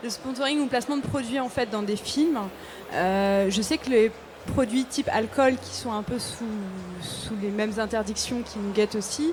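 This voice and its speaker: A woman's fairly high voice, slowish in pace, with ordinary pitch variation over noticeable background noise. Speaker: audience member. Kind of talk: question from audience. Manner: loud.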